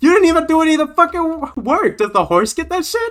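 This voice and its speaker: Projected, raised speech carrying a bright, sharp tone. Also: man. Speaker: streamer. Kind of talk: casual chat. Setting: live stream. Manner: loud.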